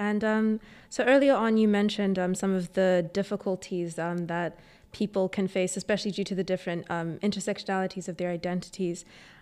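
A woman speaks at a fairly quick pace with a plain, everyday voice. Her pitch is medium and her intonation fairly even. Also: very clean recording, silent background. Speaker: podcast host, student. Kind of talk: interview questions.

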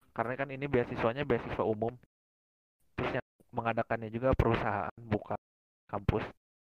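A medium-pitched male voice, very fast yet broken by long, frequent pauses, in a flat monotone with a dry, close sound and no echo. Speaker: university student. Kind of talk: casual chat.

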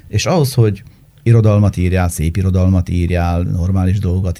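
A man's very deep, low, dark and mellow voice at a fairly slow pace with ordinary pitch variation. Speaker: journalist. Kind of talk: casual chat.

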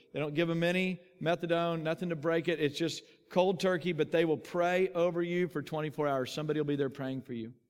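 Delivered in a Texan accent at a very fast pace with hardly any pauses, the speech keeps fairly even intonation. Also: man, high pitch for a man. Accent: Texan American. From Texas. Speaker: pastor. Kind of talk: sermon.

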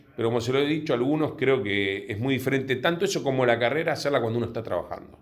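Audible room echo follows a man speaking with lively intonation. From Buenos Aires, Argentina (Villa Urquiza). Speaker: insurance company executive. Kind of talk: interview.

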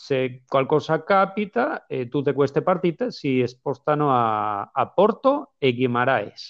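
A man with a fairly high pitch talks at a very slow pace. His intonation is lively. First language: Spanish (speaking Italian). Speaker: football podcast co-host. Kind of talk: casual chat. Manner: halting.

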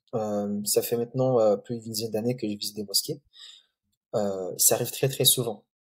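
The voice is somewhat breathy and calm in tone, with fairly even intonation. It moves at a fairly quick pace yet has long, frequent pauses. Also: man, very clean recording, silent background. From Comoros (Grande Comore), then Mayotte. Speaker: mosque photographer and project founder. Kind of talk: podcast interview. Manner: calm, hesitant with many fillers.

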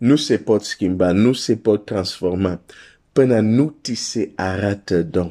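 A man speaks at a very slow pace with fairly low pitch, ordinary pitch variation and a warm, dark, mellow tone. The recording is very clean, the background silent. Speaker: preacher. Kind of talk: sermon. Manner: earnest, pleading preacher's delivery, urging listeners to seek God; direct, warm address to the listener.

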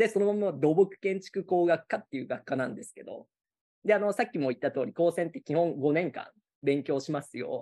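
Over a dry, close sound with no echo, a man with a high pitch and a dark, mellow tone talks at a fairly quick pace, with lively intonation and big swings in loudness. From Gifu, Japan. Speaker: college teacher. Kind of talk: casual interview chat. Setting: video call.

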